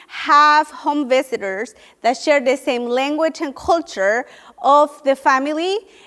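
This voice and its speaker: A woman speaks in a Spanish accent. Her voice is high-pitched, with ordinary pitch variation. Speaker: nonprofit education program leader. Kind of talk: panel briefing talk. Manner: some hesitations and restarts.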